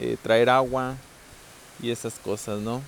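Male speech, moderately paced, with noticeable noise behind it. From Mexico, southern Zacatecas. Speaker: podcaster. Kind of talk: casual monologue. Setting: rural home, later outdoors at night. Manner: softer than usual; articulated.

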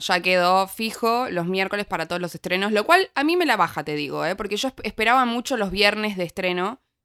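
A woman at medium pitch with a bright, sharp tone, animated and fairly quick with hardly any pauses, ordinary pitch variation, dry close sound with no echo, and a very clean recording on a silent background. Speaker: podcast co-host. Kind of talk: casual review chat.

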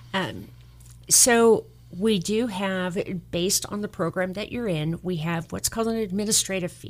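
A normal speaking voice with an American accent. The pace is moderate, with ordinary pitch variation. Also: woman, medium pitch for a woman. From Southern California. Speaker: mortgage lender. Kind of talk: radio interview.

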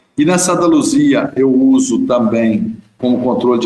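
Speaking at a fairly slow pace, a man with a plain, everyday voice uses ordinary pitch variation. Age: 60s. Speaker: dairy farm owner. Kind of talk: interview.

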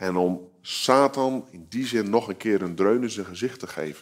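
Fairly low in pitch with ordinary pitch variation, a man speaks at a fairly slow pace in an unremarkable speaking voice. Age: 30s. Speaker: guest preacher. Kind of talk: sermon. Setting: video recording shown in church.

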